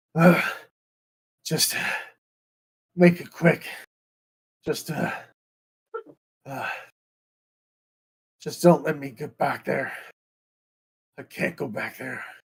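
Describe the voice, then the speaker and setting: A man's raspy, put-on character voice, fairly high in pitch, at a fairly slow pace with long, frequent pauses and big swings in loudness. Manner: pained, urgent.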